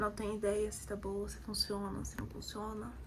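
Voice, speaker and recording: A woman's voice carries audible room echo, and noticeable background noise is present too. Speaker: architecture student vlogger. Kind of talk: casual vlog.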